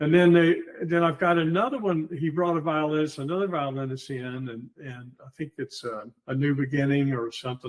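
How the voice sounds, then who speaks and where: With a Southern US accent, a man talks at a fairly quick pace in a fairly high pitch, his pitch varying in an ordinary way. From US South, Georgia. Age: 70s. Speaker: war veteran and amateur composer. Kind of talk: interview conversation.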